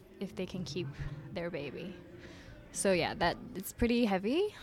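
A soft-spoken woman talks with a medium pitch. Her pitch variation is ordinary. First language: not English (English is third language). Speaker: film director. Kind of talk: casual interview chat. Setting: studio. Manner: shy, soft-spoken, easygoing.

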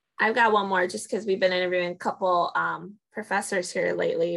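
A woman speaks at a fairly quick pace. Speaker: podcast co-host. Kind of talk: casual conversational interview.

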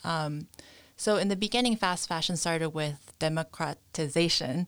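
On a very clean recording with a silent background, a woman with a New York accent speaks at a very deep, low pitch. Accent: New York American. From US, New York. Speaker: fashion entrepreneur. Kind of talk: interview.

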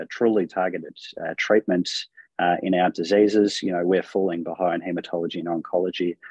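In an Australian accent, a man with a very deep, low pitch speaks at a moderate pace in a monotone, flat way, the sound dry and close with no echo. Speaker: rheumatologist. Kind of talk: panel discussion.

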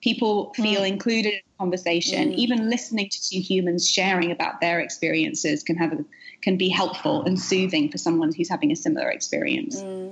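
A woman's medium-pitched voice with lively intonation, at a fairly quick pace with hardly any pauses, over noticeable background noise. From UK. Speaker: author. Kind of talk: casual interview chat. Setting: video call from New York.

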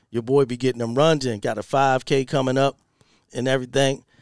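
The man's medium-pitched voice moves at a fairly quick pace, recorded dry and close with no echo. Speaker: podcast host. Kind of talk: casual solo rant with profanity. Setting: home studio recording. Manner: animated, loud, repetitive.

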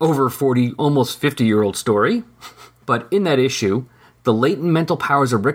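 The natural reading voice has lively intonation.

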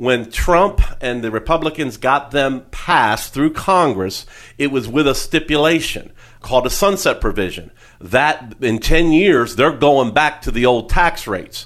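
A normal speaking voice from a man, fairly high in pitch, fairly slow, with lively intonation. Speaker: financial advisor and radio show host. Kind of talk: radio talk show interview.

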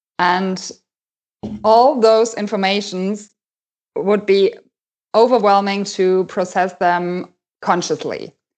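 Against a quiet background, a woman with a German accent speaks at a very slow pace and medium pitch, with fairly even intonation and long, frequent pauses. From Germany. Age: 30s. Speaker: life coach. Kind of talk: casual interview. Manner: hesitant, many fillers.

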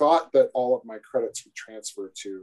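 Speaking at a fairly quick pace, a man has a Midwestern American accent. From northern Iowa. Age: 40s. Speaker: civil engineer and sales manager. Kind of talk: casual interview.

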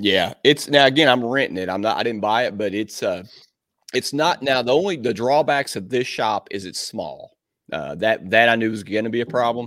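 On a very clean recording with a silent background, a man with an American accent uses an ordinary speaking voice at medium pitch, a moderate pace and lively intonation. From Southern Indiana, US. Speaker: dent repair business owner and software founder. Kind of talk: casual interview chat.

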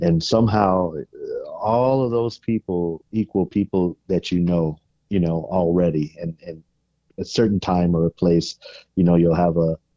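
With an American accent, a man talks at a fairly slow pace in a low pitch with ordinary pitch variation, the sound dry and close with no echo.

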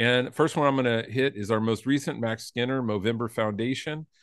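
A man with an ordinary speaking voice and a medium pitch talks at a moderate pace with ordinary pitch variation against a quiet background. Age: 50s. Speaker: podcast co-host. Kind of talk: casual chat.

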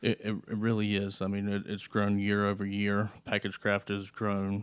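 Over a very clean recording with a silent background, the speaker talks at a moderate pace in a North Carolina accent with monotone, flat intonation. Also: man. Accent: Southern US (North Carolina). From eastern North Carolina (Greenville). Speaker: manufacturing company controller. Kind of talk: interview. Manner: halting, with repeated words.

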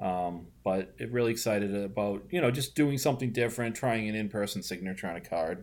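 A fairly low-pitched man with a strong Boston accent, fairly quick pace and lively intonation. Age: 40s. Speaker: recurring podcast guest and basketball card collector. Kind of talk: casual chat.

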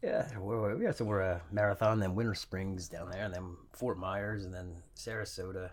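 A man with a plain, everyday voice speaks at a moderate pace with hardly any pauses, his pitch fairly low and his intonation fairly even. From Scottish family, raised in US Celtic scene. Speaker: touring musician. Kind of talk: casual chat.

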